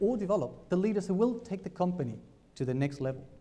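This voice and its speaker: Audible room echo surrounds a dark, mellow voice moving at a very fast pace. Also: man. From Argentina. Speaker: business speaker. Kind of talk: conference talk. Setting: stage with audience.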